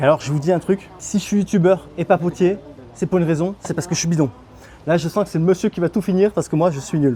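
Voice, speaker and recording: Pitched high, a man speaks at a very fast pace. His pitch variation is ordinary. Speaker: travel youtuber. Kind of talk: travel vlog with voice-over. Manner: casual, chatty.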